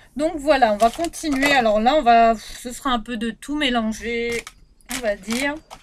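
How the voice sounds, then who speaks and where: Lively intonation from a woman at a fairly slow pace, over noticeable background noise. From Réunion. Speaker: beauty vlogger. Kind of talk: product review vlog. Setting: bedroom.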